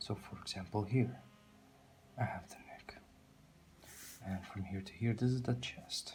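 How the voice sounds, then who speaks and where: With a non-native accent, a man speaks at a medium pitch and moderate pace, his intonation fairly even. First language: not English. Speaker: drawing tutor, artist. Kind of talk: tutorial. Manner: halting.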